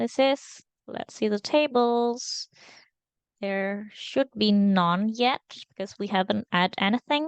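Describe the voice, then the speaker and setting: A woman with a non-native accent speaks very slowly at a fairly high pitch with ordinary pitch variation, her voice dry and close with no echo against a quiet background. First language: not English. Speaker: data engineering intern. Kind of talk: screen-recorded tutorial. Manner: halting, many fillers.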